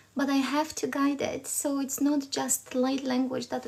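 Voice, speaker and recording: The speaker is a woman with a high-pitched voice. She talks fairly slowly. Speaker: spiritual channeler. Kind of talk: live stream spiritual transmission. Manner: halting.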